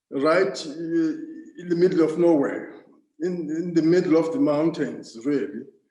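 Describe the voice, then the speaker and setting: A man speaks at a high pitch and a moderate pace, with ordinary pitch variation. His long, frequent pauses carry audible room echo. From South Africa, Eastern Cape (Transkei). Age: 60s. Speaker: ambassador. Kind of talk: interview. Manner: halting, many fillers.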